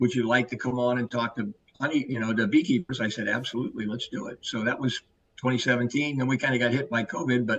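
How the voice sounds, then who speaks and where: A man speaks at a fairly quick pace with a medium pitch. His tone is bright and sharp. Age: 70s. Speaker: herbal supplement educator. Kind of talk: podcast interview. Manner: energetic.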